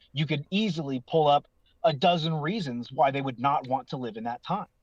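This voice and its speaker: A man's fairly high voice, a plain, everyday voice, at a fairly quick pace with a dry, close sound and no echo. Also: ordinary pitch variation. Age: 30s. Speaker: online forum user. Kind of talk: casual chat.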